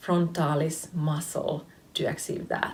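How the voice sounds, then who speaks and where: Speaking at a very slow pace, a woman with a Finnish accent has a fairly low pitch. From Finland. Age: 30s. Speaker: face yoga teacher. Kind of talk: tutorial. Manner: hesitant, many fillers.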